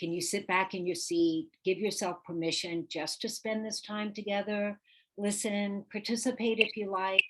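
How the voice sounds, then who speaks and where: A woman with an unremarkable speaking voice, fairly slow, with ordinary pitch variation over a quiet background. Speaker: real estate coach. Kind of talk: live webinar workshop.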